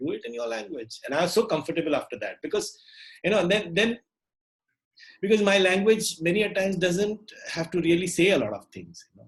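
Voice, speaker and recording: A man's high-pitched voice races along very fast with lively intonation. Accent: Marathi. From India, Maharashtra. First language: Marathi. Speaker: puppeteer and storyteller. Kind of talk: casual interview.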